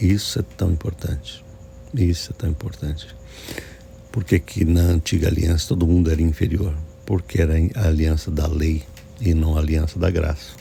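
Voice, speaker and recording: A soft-spoken man with a very deep, low voice, at a moderate pace with very even loudness, ordinary pitch variation, long, frequent pauses and noticeable background noise. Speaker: pastor. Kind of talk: sermon. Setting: early morning at home.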